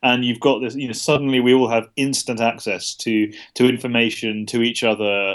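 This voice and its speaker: Here a man speaks with a British accent. His pitch is medium and his intonation fairly even. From UK. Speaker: journalist and author. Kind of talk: interview. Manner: hesitant, many fillers.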